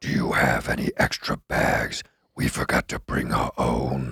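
A man's put-on character voice, raspy and very deep, at a moderate pace

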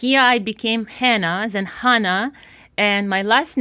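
A woman speaks with a Ukrainian accent. Her tone is bright and sharp. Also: very clean recording, silent background. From Ukraine. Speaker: physics professor. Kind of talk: interview. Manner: hesitant, many fillers.

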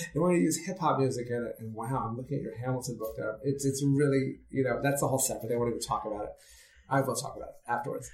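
A man with an American accent, fairly high in pitch. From New York City. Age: 50s. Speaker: theater producer and playwright. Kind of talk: interview.

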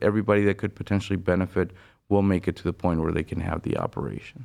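A man with a Spanish accent talks at a very deep, low pitch against a quiet background. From Venezuela. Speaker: bariatric surgeon. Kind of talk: interview.

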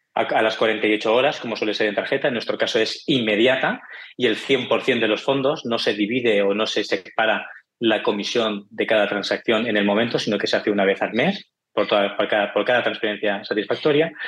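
A man with a Barcelona accent speaks at a medium pitch. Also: very even loudness. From Spain, Barcelona. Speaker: tech startup founder. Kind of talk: interview.

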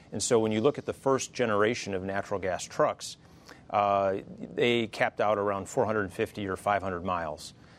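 At a moderate pace, a man in a plain, everyday voice keeps a fairly low pitch and shows ordinary pitch variation. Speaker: trade association president. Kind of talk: panel discussion. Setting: studio.

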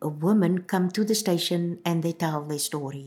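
A woman speaks in a dark, mellow tone, fairly low in pitch with ordinary variation. Her moderate pace comes through a very clean recording with a silent background. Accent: South African. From South Africa, Cape Town (Bishop Lavis). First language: Afrikaans. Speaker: community radio presenter and manager. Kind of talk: interview testimony.

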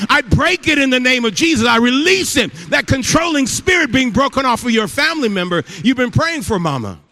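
A man shouting in a raised, projected voice, extremely high-pitched, at a fairly quick pace. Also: lively intonation. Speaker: guest pastor. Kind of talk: sermon. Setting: church stage with audience. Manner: loud, yelling.

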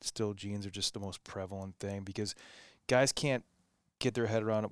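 A man's plain, everyday voice with an American accent, fairly low in pitch, with fairly even intonation and a fairly quick pace, in a very clean recording with a silent background and a dry, close sound with no echo. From US Northeast, Massachusetts North Shore. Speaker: clothing company co-founder. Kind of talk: casual interview chat.

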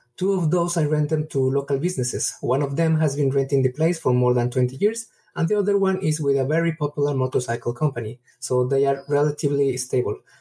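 With a Mexican accent, a man talks very fast at a fairly high pitch, with ordinary pitch variation and hardly any pauses. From Mexico. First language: Spanish. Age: 30s. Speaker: caller. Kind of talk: voicemail question.

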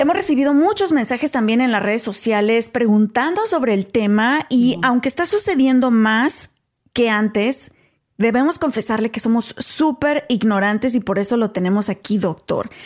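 Her loudness stays very even as a woman speaks at a moderate pace. She has a high pitch and lively intonation. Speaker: podcast host. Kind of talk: casual interview.

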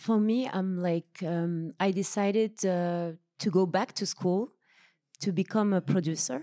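A woman with a French accent speaks in a dark, mellow tone at a fairly slow pace with ordinary pitch variation. The recording is very clean with a silent background, dry and close with no echo. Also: medium pitch for a woman. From France, Paris. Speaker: filmmaker. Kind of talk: panel discussion.

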